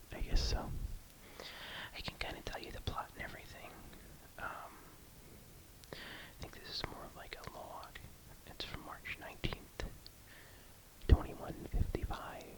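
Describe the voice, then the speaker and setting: A man whispers with long, frequent pauses and big swings in loudness. Noticeable background noise sits behind him. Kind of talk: casual talk to camera. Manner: whispered.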